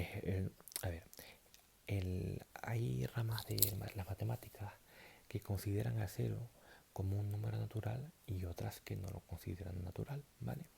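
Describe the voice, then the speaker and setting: A man speaks at a moderate pace in a very deep, low voice that is dark, mellow and somewhat breathy. His tone is relaxed, with very wide pitch swings. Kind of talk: math lesson roleplay, explaining rings and natural numbers. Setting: talking to camera, explaining abstract algebra. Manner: soft-spoken, relaxed, improvised.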